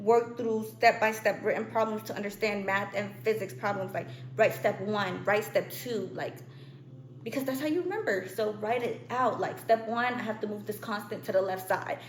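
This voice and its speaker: Lively intonation from a woman with a fairly high pitch, at a moderate pace over noticeable background noise. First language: not English. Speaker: student youtuber. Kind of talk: tutorial. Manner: casual, chatty.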